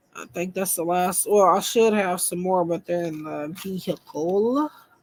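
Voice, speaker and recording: A woman talks in a strong Southern US accent at a fairly slow pace. Her pitch is medium, with ordinary variation. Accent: thick country Southern. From US South. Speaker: tarot reader. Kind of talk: live stream casual chat. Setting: live stream.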